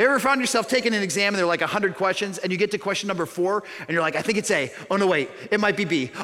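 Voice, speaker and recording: A man with an American accent talks at a very fast pace in a raised, projected voice, pitched high with a bright, sharp tone. His pitch varies in an ordinary way, and he hardly pauses at all. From suburban Chicago, US Midwest. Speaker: pastor. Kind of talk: sermon. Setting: church.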